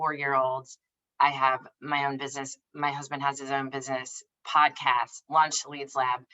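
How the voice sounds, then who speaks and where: A woman in an American accent, very deep and low in pitch, at a moderate pace with monotone, flat intonation. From US South. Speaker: business founder and career coach. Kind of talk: online workshop presentation. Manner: direct, casual.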